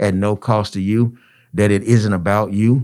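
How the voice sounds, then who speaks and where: Very clean recording with a silent background. A man with a normal speaking voice talks at a fairly low pitch with fairly even intonation. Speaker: nonprofit founder and educator. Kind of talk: radio interview.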